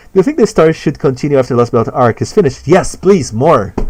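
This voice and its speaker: Vocal fry runs through a man's voice. He talks at a very fast pace. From Brazil. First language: Portuguese. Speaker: animator and streamer. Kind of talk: live stream Q&A. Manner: halting, frequent repetitions.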